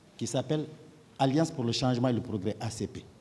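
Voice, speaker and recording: The man's voice has a dark, mellow tone and sounds somewhat breathy. He moves at a fairly quick pace with ordinary pitch variation. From Guinea (Kouroussa). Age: 60s. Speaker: witness in a trial, politician and surgeon. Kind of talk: court testimony. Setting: courtroom. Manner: formal.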